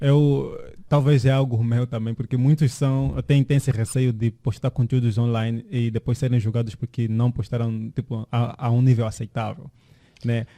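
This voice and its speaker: A dark, mellow tone carries fairly even intonation at a moderate pace, heard dry and close with no echo. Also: man, medium pitch for a man. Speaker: podcast co-host, tech entrepreneur. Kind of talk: casual chat. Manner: halting, many repeated words.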